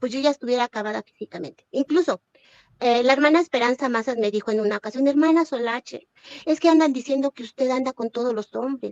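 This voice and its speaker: A woman speaks very fast in a Mexican accent, high-pitched with ordinary pitch variation. The recording is dry and close with no echo. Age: 60s. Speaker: former church member denouncing abuse. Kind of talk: testimony. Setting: livestream. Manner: animated.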